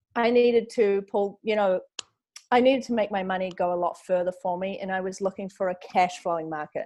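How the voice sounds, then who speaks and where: With a New Zealand accent, a woman speaks fairly quickly at a medium pitch, her tone dark and mellow and her pitch variation ordinary. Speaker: model and real estate investor. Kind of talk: interview. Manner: chatty, frequent filler words.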